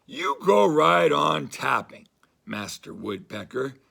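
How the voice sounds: A man's raspy, put-on character voice, fairly low in pitch and fairly slow.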